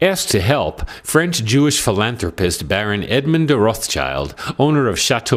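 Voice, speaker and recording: A man's voice with vocal fry at a moderate pace. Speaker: narrator, voiceover. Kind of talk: travel documentary narration.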